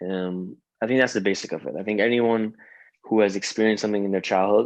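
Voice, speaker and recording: A man with an Iranian accent, fairly low-pitched with fairly even intonation, over a quiet background. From Iran (Tehran), moved to Canada as a kid. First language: Farsi. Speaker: singer-songwriter and rapper. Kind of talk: interview conversation. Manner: halting, many fillers.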